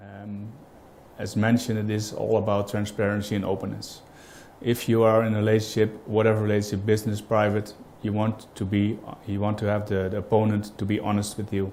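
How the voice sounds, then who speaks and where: A fairly low-pitched man with a Dutch accent, talking fairly quickly in a monotone, flat delivery. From Netherlands. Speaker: business owner, client. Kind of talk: customer testimonial interview. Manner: halting, many fillers.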